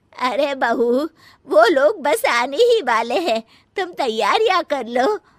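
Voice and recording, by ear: Using a cartoonish character voice, a woman talks slowly at a high pitch with big pitch swings.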